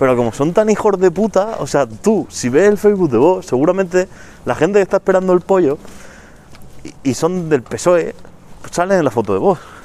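A high-voiced man speaks with lively intonation and long, frequent pauses. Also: fairly quick pace. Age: 20s. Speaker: podcast co-host. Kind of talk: casual chat.

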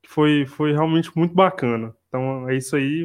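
A normal speaking voice moves at a fairly slow pace with fairly even intonation against a quiet background. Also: man. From Brazil, interior of Minas Gerais. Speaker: co-host, teacher. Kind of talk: casual discussion podcast.

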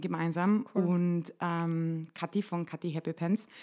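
A woman speaks at a fairly slow pace in a fairly low pitch with monotone, flat intonation, on a very clean recording with a silent background. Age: 20s. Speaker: nurse and body image activist. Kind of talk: interview. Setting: home kitchen.

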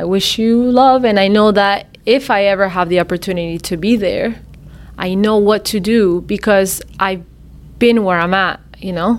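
At a fairly slow pace, a woman with a normal speaking voice talks in a medium pitch with fairly even intonation. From Miami, US (Argentine family, moved at five). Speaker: singer, former singing-contest contestant. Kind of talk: podcast interview, casual chat. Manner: frequent Spanish-English code-switching.

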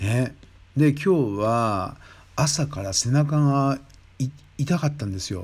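A man's fairly high, somewhat breathy voice with lively intonation at a very slow pace, broken by long, frequent pauses, on a very clean recording against a silent background. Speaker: podcast host, Thai massage trainer. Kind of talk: casual solo talk. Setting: late-night solo recording. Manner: rambling, conversational.

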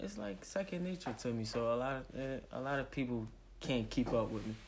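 With audible room echo, a man talks at a fairly quick pace. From US, West Philadelphia. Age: 20s. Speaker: rapper. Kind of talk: casual interview. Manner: halting, hesitant.

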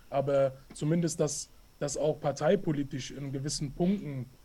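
This man speaks at a moderate pace. His pitch is fairly high, and his intonation stays fairly even. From Hessen, Hanau. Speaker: anti-racism education activist. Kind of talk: interview. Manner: halting, many fillers.

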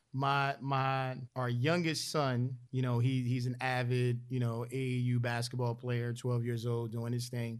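A man's medium-pitched voice, fairly slow and very even in loudness, with monotone, flat intonation and hardly any pauses. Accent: Philadelphia. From US, Philadelphia. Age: 40s. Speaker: Air Force senior enlisted leader. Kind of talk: podcast interview.

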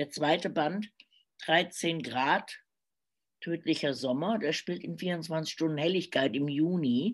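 A woman speaks at a fairly slow pace in a very deep, low voice. Her pitch varies in an ordinary way. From Germany, Cologne. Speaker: crime novelist and radio journalist. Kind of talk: casual interview. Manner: hesitant, many filler sounds.

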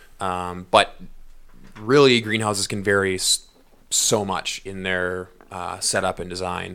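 The voice is bright and sharp, with a Western Canadian accent and fairly even intonation. It moves at a fairly slow pace, with big swings in loudness and long, frequent pauses. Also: man, very deep, low pitch for a man. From northern British Columbia, Prince George. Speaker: podcast co-host and agriculture industry worker. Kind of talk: interview, casual chat. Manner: hesitant, many fillers.

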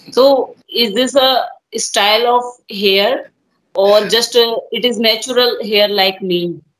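With an Indian accent, a woman speaks at a very slow pace in a fairly high pitch with ordinary pitch variation. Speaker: podcast host. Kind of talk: casual game-show interview. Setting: remote online call.

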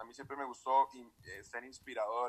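A man with an ordinary speaking voice and fairly high pitch talks at a moderate pace. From Costa Rica, Escazú, San José. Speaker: entrepreneur. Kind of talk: interview.

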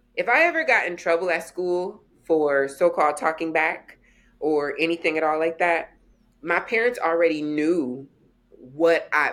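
Using a plain, everyday voice, a woman with a fairly low pitch speaks at a moderate pace with lively intonation. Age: 40s. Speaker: womanist scholar and educator. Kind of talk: interview conversation.

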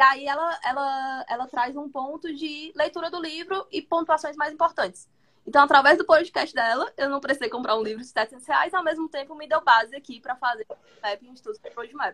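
A woman speaks at a fairly quick pace in a high, raised, projected voice with a bright, sharp tone, ordinary pitch variation and big swings in loudness, recorded dry and close with no echo. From Brazil, Fortaleza, Ceará. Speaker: product manager, former educator. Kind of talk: casual chat.

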